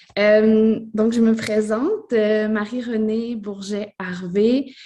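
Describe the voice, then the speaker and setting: In a Quebec French accent, a woman speaks at a very slow pace in a fairly high pitch, with a dark, mellow tone and monotone, flat intonation. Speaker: scenographer. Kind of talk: panel presentation. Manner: halting.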